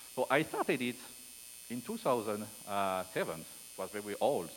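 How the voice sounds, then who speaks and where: A man talks with a strong French accent. His intonation is lively. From France. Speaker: security researcher. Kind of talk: conference keynote talk. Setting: stage with audience. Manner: fast; inconsistent volume.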